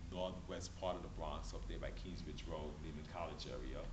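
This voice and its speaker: Noticeable background noise is present. A man speaks over it at a moderate pace. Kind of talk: casual family talk to camera. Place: hall. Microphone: camera far.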